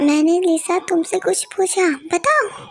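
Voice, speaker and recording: A put-on character voice, female-sounding and squeaky, hits an extremely high pitch. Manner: shouting angrily.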